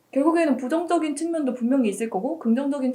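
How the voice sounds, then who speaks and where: A woman speaks with a high pitch and a dark, mellow tone. Her intonation is lively. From North Korea. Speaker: university student. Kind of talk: interview.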